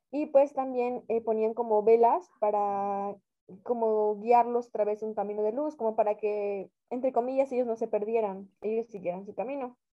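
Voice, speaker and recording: Speaking at a moderate pace, a woman uses an ordinary speaking voice, fairly high in pitch with ordinary pitch variation. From Mexico. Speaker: podcast co-host. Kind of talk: casual chat.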